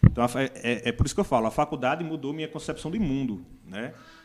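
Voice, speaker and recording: With music in the background, a man speaks at a fairly quick pace at medium pitch with ordinary pitch variation. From Brazil, Northeast (Paraíba). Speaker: biologist and teacher. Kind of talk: casual chat. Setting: studio.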